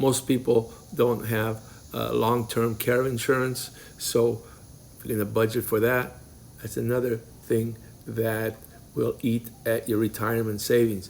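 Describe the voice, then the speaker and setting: Speaking at a fairly slow pace with long, frequent pauses, a man with a non-native accent holds a medium pitch in a monotone, flat intonation. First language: not English. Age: 50s. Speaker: early retiree vlogger. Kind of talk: casual vlog advice talk. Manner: halting.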